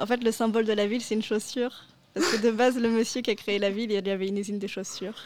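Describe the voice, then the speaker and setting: Very fast, fairly even delivery from a woman with a fairly high pitch, over noticeable background noise. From France, Paris region. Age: 20s. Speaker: university student, former European volunteer. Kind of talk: radio interview.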